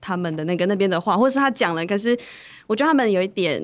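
A woman with an ordinary speaking voice talks at a mid-range pitch, her pitch varying in an ordinary way, on a very clean recording with a silent background. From Taiwan, Hualien (Bunun community). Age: young. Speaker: long-term care supervisor. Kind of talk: interview.

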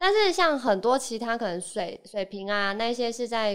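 A woman with an ordinary speaking voice talks at a fairly high pitch with lively intonation. Her moderate pace comes through on a very clean recording with a silent background. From Taiwan, Kaohsiung. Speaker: podcast guest. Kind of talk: casual chat.

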